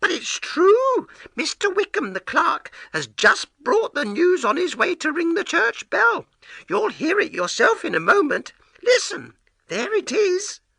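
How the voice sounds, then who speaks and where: A man's squeaky, put-on character voice at an extremely high pitch and a fairly slow pace. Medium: read story.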